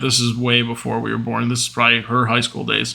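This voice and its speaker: Loud and bright with a sharp tone, a man speaks at a medium pitch on a very clean recording with a silent background. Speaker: podcast host. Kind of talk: casual monologue.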